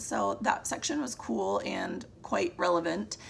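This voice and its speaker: A woman's voice with noticeable background noise. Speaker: book reviewer. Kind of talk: casual monthly book wrap-up. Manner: casual, with fillers and restarts.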